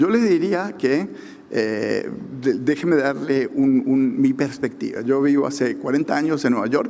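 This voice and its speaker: Fairly high-pitched man with a dark, mellow tone, ordinary pitch variation and a moderate pace, with audible room echo. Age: 60s. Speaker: government economist. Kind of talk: conference talk. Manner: halting, many fillers.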